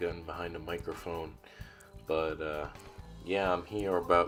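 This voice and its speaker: Over music in the background, a man with a very deep, low pitch speaks at a moderate pace with fairly even intonation. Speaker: gaming YouTuber. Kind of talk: casual talk to camera. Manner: hesitant, many filler words.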